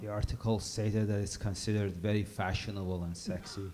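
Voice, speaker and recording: Speaking with an Iranian accent, a man uses a fairly low pitch and monotone, flat intonation. His fairly quick pace carries audible room echo. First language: Persian. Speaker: comedian. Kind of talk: stand-up.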